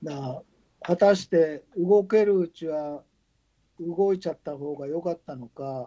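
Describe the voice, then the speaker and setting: Dark and mellow in tone, a man speaks in a high pitch at a fairly slow pace, with big swings in loudness and a dry, close sound with no echo. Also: ordinary pitch variation. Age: 60s. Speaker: ultramarathon runner. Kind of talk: casual chat.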